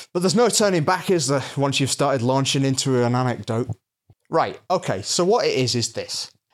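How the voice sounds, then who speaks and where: In a very clean recording with a silent background, a man's voice swings very widely in pitch. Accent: Lancashire. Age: 30s. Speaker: podcast co-host. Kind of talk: casual chat. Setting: in his own apartment.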